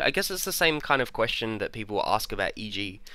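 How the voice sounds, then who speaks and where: Bright and sharp in tone, a man with an Australian accent talks at a fairly quick pace with very wide pitch swings. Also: very clean recording, silent background. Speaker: podcast host. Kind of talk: podcast discussion.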